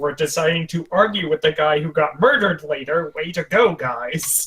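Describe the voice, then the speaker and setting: Using a put-on character voice, a man speaks at a fairly high pitch and moderate pace with ordinary pitch variation. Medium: actual play. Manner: exasperated, sarcastic.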